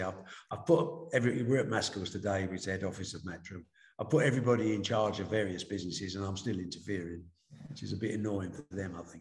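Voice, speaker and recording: Talking at a very fast pace, a man sounds somewhat breathy, with ordinary pitch variation and audible room echo. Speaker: remote interview guest. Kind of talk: interview answer. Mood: reflective, candid. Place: office. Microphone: video call.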